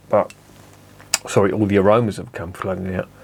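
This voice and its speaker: A man speaks at a fairly quick pace. His voice is fairly low in pitch. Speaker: beer reviewer. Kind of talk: casual review monologue.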